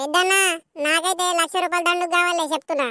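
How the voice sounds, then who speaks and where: A loud, female-sounding put-on character voice speaks at a moderate pace. Its pitch is extremely high. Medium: comedy sketch. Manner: loud, scolding, abusive.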